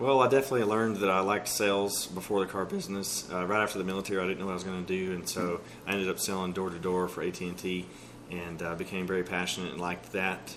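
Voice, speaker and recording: A man's very deep, low pitch at a very fast pace, with fairly even intonation, audible room echo and noticeable background noise. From East Texas (Texarkana). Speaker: car dealership sales manager. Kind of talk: interview.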